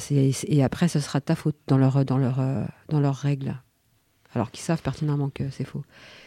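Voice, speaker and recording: At a moderate pace broken by long, frequent pauses, a woman talks in a very deep, low, dark and mellow voice with fairly even intonation. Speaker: radio host. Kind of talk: casual chat. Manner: halting.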